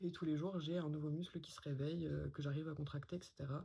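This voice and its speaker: In a very deep, low pitch, a woman speaks with a dark, mellow tone, somewhat breathy and in a monotone, flat intonation. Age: 20s. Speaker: vlogger. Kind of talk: personal testimony. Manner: hesitant, many fillers.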